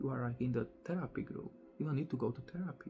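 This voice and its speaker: A man talks with ordinary pitch variation. Music plays in the background. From Slovakia. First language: Slovak. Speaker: spiritual teacher. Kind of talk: casual monologue. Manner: slow, deliberate pace.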